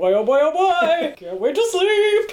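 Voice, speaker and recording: The speaker uses a put-on character voice at an extremely high pitch, delivered at a fairly slow pace. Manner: excited.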